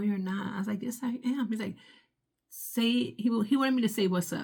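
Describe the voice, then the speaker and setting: A woman talks at a very fast pace in an animated tone with vocal fry. Her pitch varies in an ordinary way. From Puerto Rican heritage. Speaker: vlogger. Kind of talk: casual vlog monologue. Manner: loud, upbeat.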